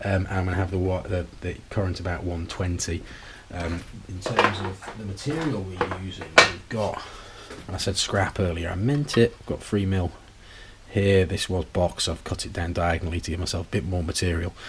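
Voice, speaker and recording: Noticeable background noise surrounds a man talking at a moderate pace in a very deep, low voice. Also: ordinary pitch variation. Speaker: welding hobbyist youtuber. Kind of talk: tutorial. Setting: home garage. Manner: casual, hesitant.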